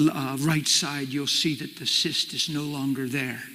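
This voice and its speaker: At a fairly slow pace, a man speaks in a fairly high, bright, sharp voice with fairly even intonation. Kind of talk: ministering a word of knowledge to someone in a crowd.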